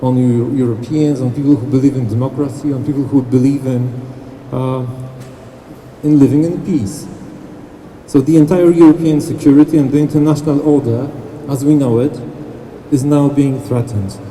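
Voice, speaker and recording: With audible room echo and noticeable background noise, a man with fairly high pitch and fairly even intonation speaks at a moderate pace, leaving long, frequent pauses. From Poland. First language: Polish. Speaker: diplomat. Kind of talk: press conference speech. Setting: city hall press event. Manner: hesitant with many fillers.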